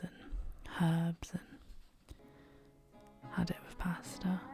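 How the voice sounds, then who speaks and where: Soft-spoken and whispering, a woman talks with music in the background. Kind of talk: casual vlog talk to camera. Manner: soft-spoken, whispered.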